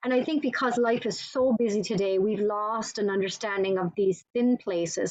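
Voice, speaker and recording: At a moderate pace, a woman with an Irish accent talks at a medium pitch with fairly even intonation. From Ireland. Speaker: author and church ministry director. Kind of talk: interview.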